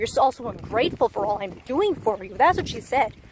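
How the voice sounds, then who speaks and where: A loud voice with very wide pitch swings over noticeable background noise. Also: woman. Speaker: vlogger sharing personal story. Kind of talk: testimony. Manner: rambling, hesitant with fillers.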